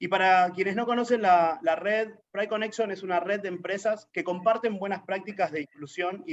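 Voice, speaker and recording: A man speaks with an Argentine accent at a fairly quick pace. His voice sits high in pitch. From Argentina. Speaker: LGBT activist, network coordinator. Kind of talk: interview.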